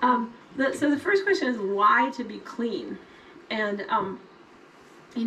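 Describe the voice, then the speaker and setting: A woman with an ordinary speaking voice talks fairly slowly at a fairly high pitch over light background noise. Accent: American. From Colorado, US. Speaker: health ministry trainer. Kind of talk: training talk. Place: forest.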